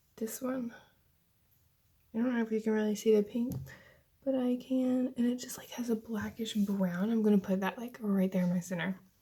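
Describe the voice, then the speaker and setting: Soft-spoken, a woman talks at a moderate pace with long, frequent pauses. Her fairly high voice has fairly even intonation. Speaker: beauty YouTuber. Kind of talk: casual makeup tutorial talk to camera.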